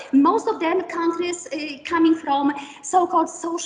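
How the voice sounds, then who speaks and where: A woman with a Polish accent talks at an extremely high pitch. Her pace is fairly slow, with ordinary pitch variation. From Poland, Kraków. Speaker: professor. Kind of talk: lecture. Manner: halting.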